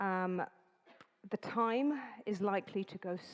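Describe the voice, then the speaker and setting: Her pitch sits at a medium level. This woman's pitch moves in an ordinary way. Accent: English. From England. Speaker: event host, master of ceremonies. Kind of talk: event announcements. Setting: stage with live audience in conference hall. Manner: deliberately slower, clear enunciation.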